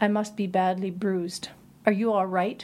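Someone reads aloud in a natural voice.

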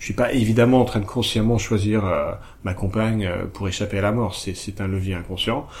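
Recorded with audible room echo and noticeable background noise, a fairly low-voiced man speaks fairly quickly with fairly even intonation. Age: 40s. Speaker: couples communication coach. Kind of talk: casual chat. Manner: halting.

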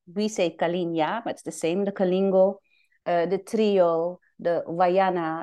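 Against a quiet background, a woman talks at a fairly slow pace in a fairly low pitch with monotone, flat intonation. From Suriname. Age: 40s. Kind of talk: interview.

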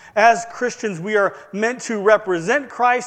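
Speaking at a fairly slow pace, a man with a Midwestern American accent uses ordinary pitch variation. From US Midwest, northern Indiana. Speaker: pastor. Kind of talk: sermon.

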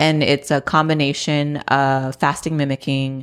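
In a very clean recording with a silent background, a woman speaks with a very deep, low pitch and monotone, flat intonation. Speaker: private chef and nutrition specialist. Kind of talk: casual interview chat.

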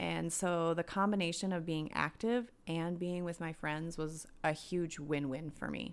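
A woman's plain, everyday voice with an American accent, fairly low in pitch, at a fairly slow pace with hardly any pauses and fairly even intonation, on a very clean recording with a silent background. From US Midwest, southern Minnesota. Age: 40s. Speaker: wellness podcast host. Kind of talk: solo podcast monologue. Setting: home.

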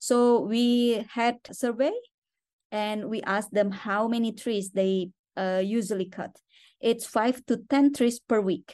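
Over a quiet background, a woman with an Indonesian accent speaks at a fairly slow pace, her fairly high pitch carrying a dark, mellow tone and ordinary pitch variation. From Indonesia (West Borneo). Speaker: conservation organization director. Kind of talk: interview. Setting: remote call from a hotel.

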